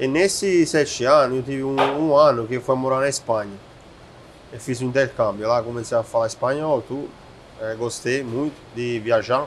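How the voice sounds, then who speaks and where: This man speaks with an Italian accent at a medium pitch and a moderate pace. His pitch variation is ordinary, and noticeable background noise is present. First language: Italian (speaking Portuguese). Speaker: chef and restaurateur. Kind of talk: casual interview.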